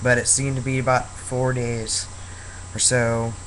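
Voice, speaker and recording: A man speaks at a medium pitch. Noticeable background noise and audible room echo surround him. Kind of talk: casual vlog monologue. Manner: hesitant, many fillers.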